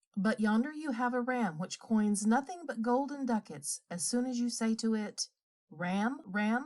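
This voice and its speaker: A put-on character voice, female-sounding, gruff and loud at a fairly high pitch. She speaks at a moderate pace. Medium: read story.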